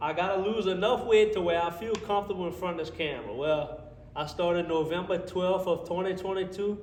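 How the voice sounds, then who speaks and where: Speaking in a South Louisiana accent, a man with high pitch talks at a fairly quick pace in an animated tone. There is audible room echo and noticeable background noise. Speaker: car mechanic vlogger. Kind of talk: casual vlog talk to camera. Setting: home garage workshop.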